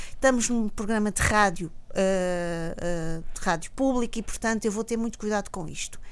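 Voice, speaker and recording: This woman has an unremarkable speaking voice, fairly high in pitch with ordinary variation, moving at a moderate pace with hardly any pauses. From Mozambique. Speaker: academic commentator. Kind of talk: radio panel debate.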